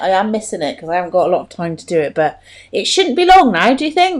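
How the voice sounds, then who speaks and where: In a West Country accent, the voice races at a very fast pace with very wide pitch swings and big swings in loudness. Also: woman. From Stroud, Gloucestershire, England. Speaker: podcast host. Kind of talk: casual interview. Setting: podcast recording.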